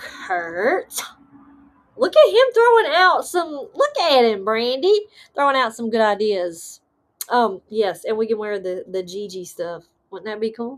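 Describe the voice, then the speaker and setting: Animated and fairly high-pitched, a woman with a Southern US accent talks at a fairly slow pace, her pitch swinging very widely and her loudness rising and falling sharply. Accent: Southern country. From US South, western North Carolina mountains. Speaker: paranormal podcast host. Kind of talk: live stream chat reading viewer comments. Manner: casual, animated.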